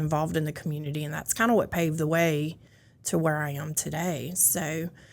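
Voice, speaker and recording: Fairly low-pitched woman in a Louisiana accent, at a moderate pace, on a very clean recording with a silent background. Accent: Louisiana Southern. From US South, North Louisiana (West Monroe). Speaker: county building official. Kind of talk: casual interview chat.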